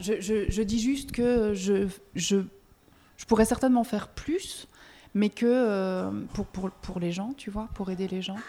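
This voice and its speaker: In a very clean recording with a silent background, a woman talks at a fairly slow pace and medium pitch, her dark, mellow tone carried by fairly even intonation. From Belgium. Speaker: music press officer. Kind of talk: casual interview. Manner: halting, many repeated words.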